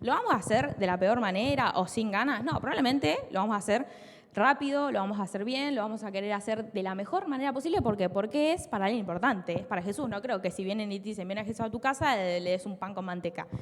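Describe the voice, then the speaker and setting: A woman with a Rioplatense accent talks very fast with lively intonation, a fairly high pitch and hardly any pauses. Noticeable background noise can be heard. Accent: Argentine Rioplatense Spanish. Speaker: preacher. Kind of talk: sermon.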